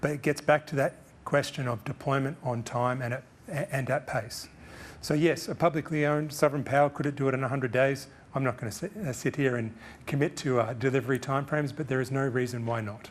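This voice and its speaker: A man with an Australian accent talks at a very fast pace. His fairly high voice keeps a fairly even intonation. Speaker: guest speaker on energy policy. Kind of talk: press conference Q&A answers. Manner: some hesitations and self-corrections.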